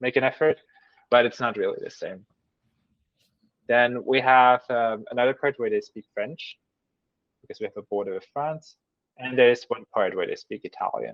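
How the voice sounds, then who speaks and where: With a slight German accent, the speaker keeps a moderate pace, with big swings in loudness and long, frequent pauses. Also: man. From German-speaking Switzerland. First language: Swiss German. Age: 30s. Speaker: mathematician. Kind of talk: interview. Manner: halting with fillers.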